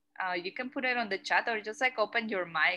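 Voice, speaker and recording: A woman with a Mexican accent talks at a moderate pace with ordinary pitch variation. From Mexico. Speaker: curator. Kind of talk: lecture Q&A. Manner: hesitant, many fillers.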